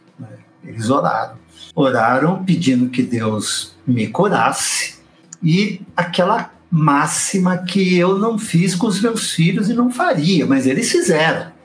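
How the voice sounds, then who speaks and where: A man with high pitch and very wide pitch swings at a very slow pace, amid noticeable background noise. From Brazil, São Paulo state (raised in São Paulo city). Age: 60s. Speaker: Baptist pastor. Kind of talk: casual interview.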